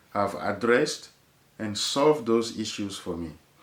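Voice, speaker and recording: A man with a strong French accent speaks at a fairly slow pace, his medium pitch showing ordinary variation. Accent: heavy French. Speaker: golf video creator. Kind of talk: casual chat.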